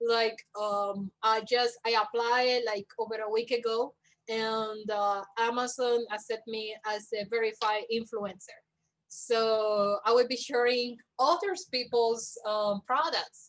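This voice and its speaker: A woman speaks very slowly with a Spanish accent. Her intonation stays fairly even. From Cuba. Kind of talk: interview. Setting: livestream.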